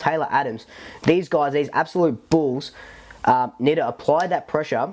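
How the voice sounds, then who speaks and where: Using an Australian accent, a man talks at a fairly quick pace and a fairly high pitch with ordinary variation. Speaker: football fan podcaster. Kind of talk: casual talk to camera. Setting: lav mic recording. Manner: casual, rambling, filler-heavy.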